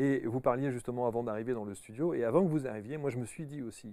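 A man's dark, mellow voice at a fairly quick pace, with ordinary pitch variation and a dry sound with no echo. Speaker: talk show host. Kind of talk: interview. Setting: studio. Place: studio. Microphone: lapel.

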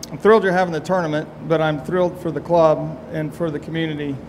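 A man at a fairly quick pace, monotone with flat intonation, over light background noise. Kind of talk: press conference answer. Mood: proud, relaxed. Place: hall. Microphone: podium.

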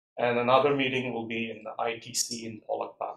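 His words come at a fairly slow pace. The man's voice carries audible room echo. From South India. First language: a South Indian language. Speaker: university lecturer. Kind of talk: lecture. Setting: classroom, live streamed. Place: classroom.

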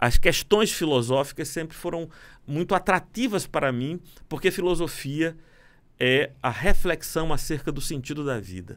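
Lively in intonation, a man speaks at a fairly slow pace with big swings in loudness. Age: 50s. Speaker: lawyer, philosopher and pastor; lawyer, pastor. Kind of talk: casual chat. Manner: formal. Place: studio. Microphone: studio mic.

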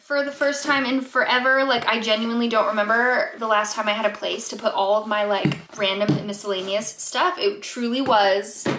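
A woman talks at a moderate pace with hardly any pauses and ordinary pitch variation. Noticeable noise sits in the background. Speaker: vlogger. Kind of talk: casual vlog chat. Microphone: phone near.

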